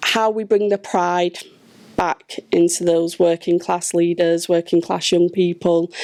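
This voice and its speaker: Delivered at a fairly slow pace, the speech is monotone and flat, with a dry, close sound and no echo. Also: woman. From northern England, Blackburn, Lancashire. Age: 40s. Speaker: charity chief executive. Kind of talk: panel discussion.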